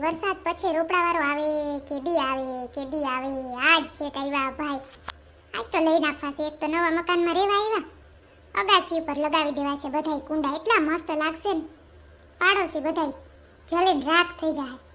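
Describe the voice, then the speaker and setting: A squeaky, cartoonish character voice carries the clip. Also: woman. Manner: chatty, boastful.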